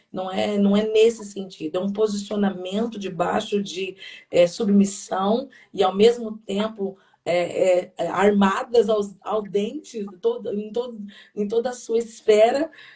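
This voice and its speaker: A woman with a somewhat breathy, dark, mellow tone speaks at a fairly slow pace with medium pitch and fairly even intonation. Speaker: pastor. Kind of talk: sermon-like live talk. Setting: livestream. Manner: talkative.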